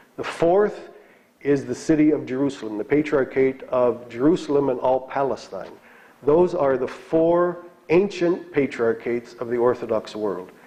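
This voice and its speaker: A man talks at a moderate pace in a fairly high pitch. It is a normal speaking voice. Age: 60s. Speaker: bishop. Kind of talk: lecture. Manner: conversational, with fillers.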